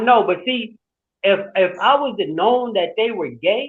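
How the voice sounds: A woman talks at a medium pitch with a slightly husky edge.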